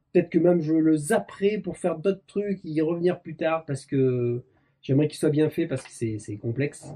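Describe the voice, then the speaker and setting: Big swings in loudness mark a man's dark, mellow voice, which shows ordinary pitch variation. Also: fairly high pitch for a man, moderate pace. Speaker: motorcycle mechanics YouTuber. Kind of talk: casual chat. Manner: animated.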